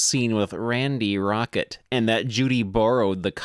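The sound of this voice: Reading in an unforced reading voice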